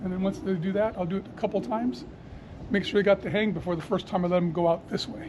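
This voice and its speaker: Over noticeable background noise, a man with a high pitch speaks at a very fast pace with ordinary pitch variation. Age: 60s. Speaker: pigeon fancier. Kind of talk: casual chat.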